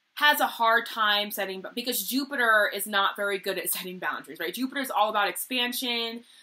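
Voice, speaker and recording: Bright, sharp tone from a woman pitched fairly high. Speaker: tarot reader. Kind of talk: tarot reading monologue. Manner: loud, outspoken; halting with repetitions.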